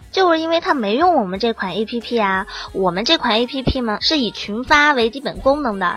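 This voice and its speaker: A woman speaks at a moderate pace in a high pitch, her intonation lively. Noticeable background noise runs behind her. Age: 20s. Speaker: app founder, former journalist. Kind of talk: casual chat.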